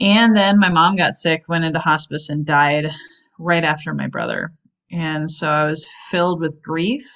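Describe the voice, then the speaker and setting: At a moderate pace, this unremarkable speaking voice keeps a fairly even intonation. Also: woman. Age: 40s. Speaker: sales trainer and coach. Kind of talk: interview.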